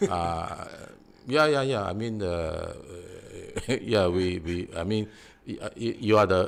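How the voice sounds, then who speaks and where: With a Singaporean accent, a man speaks at a moderate pace in a very deep, low pitch. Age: 60s. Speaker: defendant in defamation suit, author. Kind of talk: interview. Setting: live online stream. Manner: halting, many fillers.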